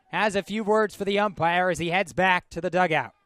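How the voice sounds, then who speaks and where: A man speaks with music playing in the background. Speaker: television play-by-play baseball announcer. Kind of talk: sports broadcast play-by-play commentary.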